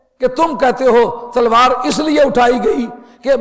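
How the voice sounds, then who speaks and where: An extremely high-pitched man against noticeable background noise. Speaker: Islamic scholar and religious lecturer. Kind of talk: religious lecture / sermon. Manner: earnest, argumentative, rhetorical.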